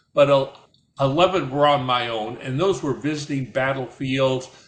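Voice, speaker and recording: A man's voice comes through somewhat breathy. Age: 80s+. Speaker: war veteran. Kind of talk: personal storytelling. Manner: halting, repeats words.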